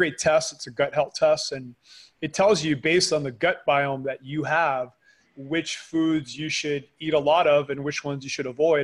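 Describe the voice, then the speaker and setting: At a moderate pace, a man with a fairly high voice talks in a very clean recording with a silent background. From Canada. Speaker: supplement company founder. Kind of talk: interview.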